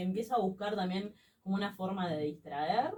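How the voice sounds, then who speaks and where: In an unremarkable speaking voice, a woman talks fairly quickly at a medium pitch with ordinary pitch variation. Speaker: radio interviewer. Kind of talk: radio interview questions.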